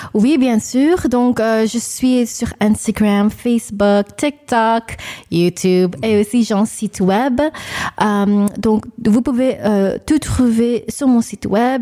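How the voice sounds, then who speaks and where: Very slow speech from a woman with an English accent, fairly high in pitch, dark and mellow in tone, with ordinary pitch variation and very even loudness. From New York, Long Island. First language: English (speaking French). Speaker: singer and vocal coach. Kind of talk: radio interview. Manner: halting.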